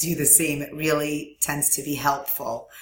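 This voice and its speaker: Noticeable background noise sits behind a woman's voice. She talks at a moderate pace with a very deep, low pitch. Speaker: online course instructor. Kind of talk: recorded tutorial. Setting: screen recording with webcam. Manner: frequent fillers (um).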